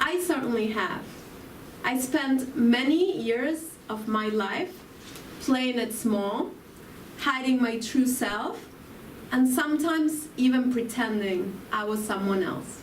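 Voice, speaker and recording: In an Argentine accent, a woman with a high pitch and lively intonation speaks at a very slow pace with long, frequent pauses, amid noticeable background noise and audible room echo. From Argentina. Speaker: spiritual speaker. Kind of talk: spiritual talk.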